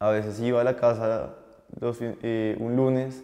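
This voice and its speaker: A man speaks at a medium pitch with a dark, mellow tone. The background is quiet. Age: 20s. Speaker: young entrepreneur and chef; guest. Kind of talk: interview testimony. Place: studio. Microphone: lapel.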